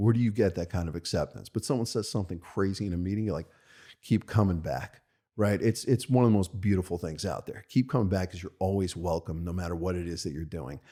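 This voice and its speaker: Talking at a very fast pace, a man with an American accent has a very deep, low pitch, a dark, mellow tone and ordinary pitch variation, all in a very clean recording with a silent background. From US Northeast, Monsey, New York. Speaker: rabbi and yeshiva head. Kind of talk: interview conversation. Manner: halting.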